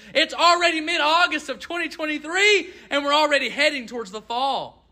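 On a very clean recording with a silent background, a man speaks in a raised, projected voice. His tone is bright and sharp, and his pace is moderate. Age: 20s. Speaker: preacher. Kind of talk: sermon. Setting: church.

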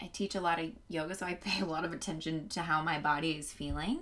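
A woman with an ordinary speaking voice and an American accent talks at a moderate pace and a fairly low pitch, with fairly even intonation. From Indianapolis, US Midwest. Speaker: podcast host and yoga instructor. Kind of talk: casual chat.

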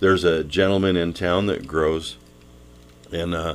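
With an American accent, a man speaks at a very deep, low pitch. His pace is fairly slow and his intonation fairly even. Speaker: radio garden show co-host. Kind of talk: casual radio chat. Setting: studio.

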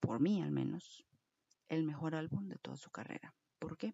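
Her pitch very deep and low, a woman speaks with vocal fry, an animated tone and a fairly slow pace. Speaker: podcast host. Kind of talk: casual monologue.

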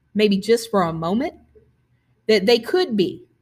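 Somewhat breathy speech with very wide pitch swings comes through on a very clean recording with a silent background. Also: woman. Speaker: podcast host and poet. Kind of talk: podcast introduction; poetry reading.

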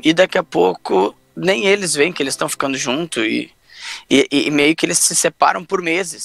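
The man speaks at a moderate pace in a dry, close sound with no echo. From Pelotas, southern Brazil. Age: 30s. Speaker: podcast co-host. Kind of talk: casual chat.

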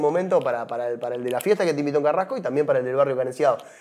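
Noticeable background noise behind a man's fairly high-pitched voice with lively intonation. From Uruguay. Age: 40s. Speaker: former tropical music singer. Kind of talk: testimony. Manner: hesitant, repeats words.

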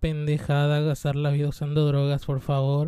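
With a dark, mellow tone and a fairly high pitch, a man is heard in a very clean recording with a silent background and a dry, close sound with no echo. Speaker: vlogger. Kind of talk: casual monologue.

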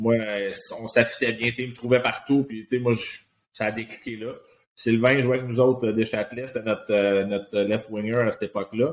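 Pausing long and often, a man talks at a moderate pace with a medium pitch and monotone, flat intonation. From Quebec, Laval. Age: 40s. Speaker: retired hockey player. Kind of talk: casual interview.

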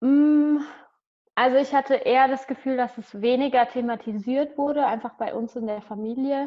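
This woman has a high pitch and fairly even intonation. She talks at a moderate pace. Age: 20s. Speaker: dance teacher. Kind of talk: interview. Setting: video call.

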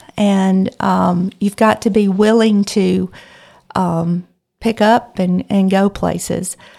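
In a Mississippi accent, a woman speaks at a very slow pace with fairly even intonation and a dark, mellow tone. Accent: Southern US (Mississippi). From US South, rural northeast Mississippi. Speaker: church music leader. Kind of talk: interview about faith and life. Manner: halting, many fillers.

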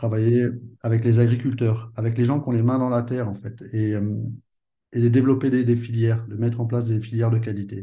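At a fairly quick pace, a man talks in a medium pitch with a monotone, flat intonation. His tone is dark and mellow, and somewhat breathy. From Paris, France. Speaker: perfume brand co-founder. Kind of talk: interview.

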